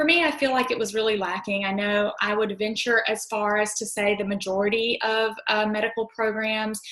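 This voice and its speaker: A woman's medium-pitched voice with a Southern US accent, at a moderate pace. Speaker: physician assistant. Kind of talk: panel discussion. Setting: live recorded podcast.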